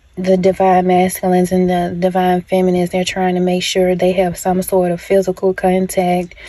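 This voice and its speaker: A moderate pace and monotone, flat intonation, set against noticeable background noise. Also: woman. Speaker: spiritual channeler / tarot-style reader. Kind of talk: channeled message monologue. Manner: hesitant, many filler ums; casual, conversational.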